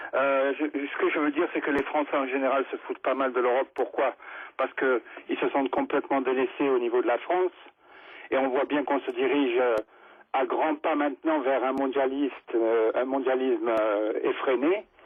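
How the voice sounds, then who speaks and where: This man has a fairly high pitch and a slight English accent, speaking at a moderate pace with fairly even intonation. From Monaco. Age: 50s. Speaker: radio caller. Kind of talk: call-in opinion. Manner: halting, many repetitions.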